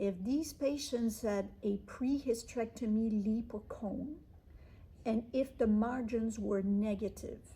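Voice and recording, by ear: A woman's fairly high voice with a dark, mellow tone, ordinary pitch variation and a fairly slow pace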